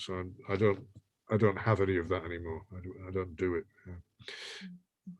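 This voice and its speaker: Against a quiet background, a man with an English accent speaks at a very deep, low pitch in a monotone, flat intonation. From England, Irish family. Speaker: poet. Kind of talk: panel discussion.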